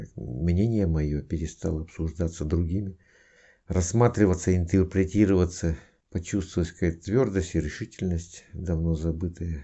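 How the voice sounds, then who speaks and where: A man speaks at a moderate pace in a very deep, low voice that is somewhat breathy, with ordinary pitch variation. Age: 50s. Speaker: student of a hypnosis school giving a testimonial. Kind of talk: testimony.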